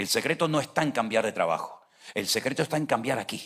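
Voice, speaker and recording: A man talks at a fairly quick pace. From Venezuela. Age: 60s. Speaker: pastor. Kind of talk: sermon.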